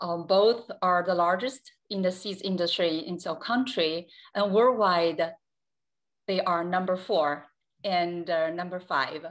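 Against a quiet background, a woman in a Chinese accent speaks at a fairly slow pace with medium pitch and ordinary pitch variation. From China. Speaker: company executive. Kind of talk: panel presentation. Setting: video call. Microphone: video call.

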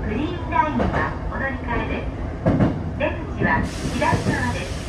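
A woman speaks at a fairly slow pace while loud background noise fills the recording. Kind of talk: recorded transit announcement. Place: train.

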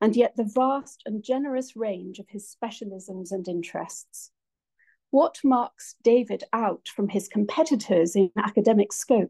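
A woman's dark, mellow, somewhat breathy voice with ordinary pitch variation, against a quiet background. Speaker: lecture host introducing guest. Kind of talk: formal introduction speech. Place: hall. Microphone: phone near.

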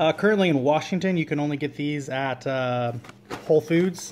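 Light background noise sits under the recording. A man talks at a fairly quick pace. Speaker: family cook vlogger. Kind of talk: casual vlog chat. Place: kitchen. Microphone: phone near.

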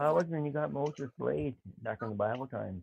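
A man mumbles through a put-on character voice at a very fast pace, pitch centered in the medium range. His pitch swings very widely up and down.

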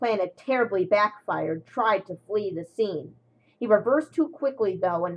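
The reading voice here is unforced. Intonation rises and falls in a lively way.

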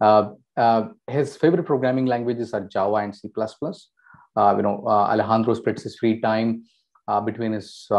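At a moderate pace and with ordinary pitch variation, a man speaks against a quiet background. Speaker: webinar host. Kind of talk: speaker introduction. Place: home room.

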